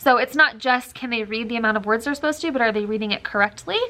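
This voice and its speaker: A woman with an American accent speaks in a fairly high voice. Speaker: elementary school teacher. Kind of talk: vlog explanation. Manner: casual, with fillers.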